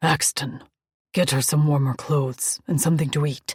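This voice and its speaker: Growling in a put-on character voice, a man speaks at a fairly high pitch. His pace is moderate. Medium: read story. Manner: growling, authoritative.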